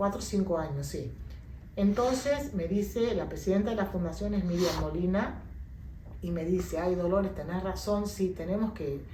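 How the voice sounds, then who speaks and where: In a room with audible echo and noticeable background noise, a woman talks at a moderate pace with ordinary pitch variation. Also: medium pitch for a woman. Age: 60s. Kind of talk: interview testimony.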